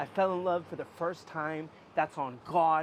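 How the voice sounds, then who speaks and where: A man with an American accent speaks at a high pitch. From US Pacific Northwest, Portland. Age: 30s. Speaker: street musician. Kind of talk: interview. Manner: halting; talkative.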